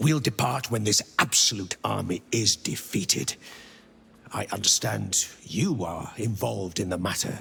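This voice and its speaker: This is a put-on character voice. It moves fairly slowly. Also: man. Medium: video game. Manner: formal, polite.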